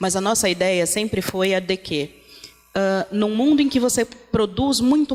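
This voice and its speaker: Against noticeable background noise, a woman at a medium pitch speaks at a fairly slow pace with ordinary pitch variation. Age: 30s. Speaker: activist and project founder. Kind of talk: panel talk.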